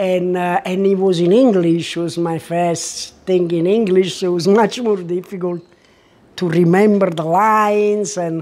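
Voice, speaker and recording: The voice has a dark, mellow tone and fairly even intonation, in a strong Italian accent. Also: woman, medium pitch for a woman. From Italy. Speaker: artist and former actress. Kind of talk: interview. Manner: halting.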